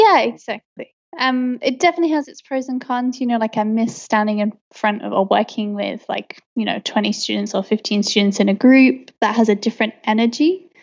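Speaking with an English accent at a moderate pace, this voice shows ordinary pitch variation and hardly any pauses. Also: woman, fairly high pitch for a woman. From England. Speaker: English teacher. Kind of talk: casual interview.

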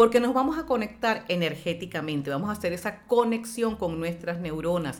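A woman's animated voice with lively intonation. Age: 50s. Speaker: brain gym trainer and speaker. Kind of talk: radio interview; guided exercise instruction.

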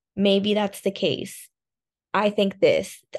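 A woman with an American accent has an ordinary speaking voice, speaking at a medium pitch and a fairly slow pace against a quiet background. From Miami, Florida. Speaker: dancer and language assistant. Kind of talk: casual interview.

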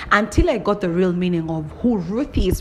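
A woman with a medium pitch speaks in an animated tone as music plays in the background. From Kenya. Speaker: podcaster. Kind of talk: casual monologue.

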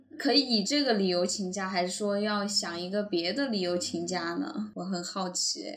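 Someone talks at a moderate pace with lively intonation and hardly any pauses over noticeable background noise. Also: woman, medium pitch for a woman. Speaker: podcast co-host. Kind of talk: casual chat.

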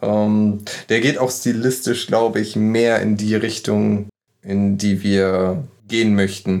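A man's fairly low-pitched voice at a very slow pace, with very even loudness and fairly even intonation. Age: 20s. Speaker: metal band guitarist. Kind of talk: casual interview chat.

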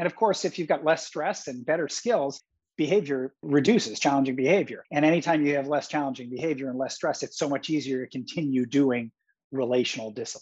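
A man's ordinary speaking voice, fairly high in pitch, at a fairly quick pace. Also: ordinary pitch variation. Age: 50s. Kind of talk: podcast interview.

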